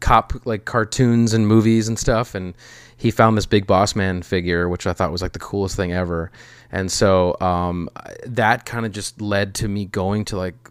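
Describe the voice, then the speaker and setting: In a plain, everyday voice with an American accent, a man talks fairly slowly at a fairly low pitch, his intonation fairly even, on a very clean recording with a silent background. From US Midwest. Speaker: documentary producer. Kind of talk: casual interview chat.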